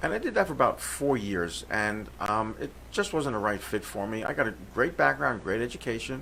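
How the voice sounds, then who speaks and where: A man with an American accent talks at a fairly quick pace, his medium-pitched voice bright and sharp in tone, with lively intonation and vocal fry. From New York City (Brooklyn). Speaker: comedian and forensic accountant. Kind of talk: radio interview.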